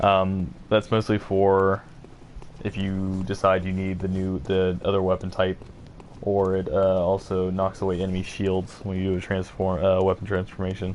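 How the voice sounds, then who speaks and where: With noticeable background noise, a man speaks in a very deep, low pitch at a moderate pace with monotone, flat intonation. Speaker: gaming streamer. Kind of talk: gameplay commentary. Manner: casual, hesitant with fillers.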